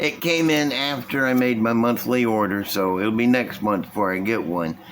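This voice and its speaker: Over noticeable background noise, a man at a medium pitch talks at a moderate pace with lively intonation and very even loudness. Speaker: model car building youtuber. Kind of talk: casual hobby tutorial. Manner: animated.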